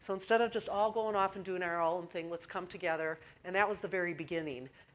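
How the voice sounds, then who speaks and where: Speaking very fast with a Midwestern accent, a woman at a medium pitch uses ordinary pitch variation on a very clean recording with a silent background. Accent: Midwestern twang. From US Midwest. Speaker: fire safety communications manager. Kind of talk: conference presentation. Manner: hesitant with fillers.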